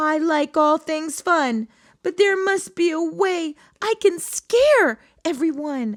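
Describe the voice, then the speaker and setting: A woman's put-on character voice, extremely high in pitch and fairly slow, on a very clean recording with a silent background. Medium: read story. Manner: bubbly, warm.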